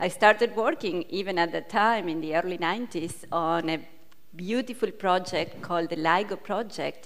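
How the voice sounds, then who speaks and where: A woman speaks with an Argentine accent at a medium pitch. Her pace is moderate, and her pitch variation is ordinary. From Argentina. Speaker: physicist. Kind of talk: panel introduction.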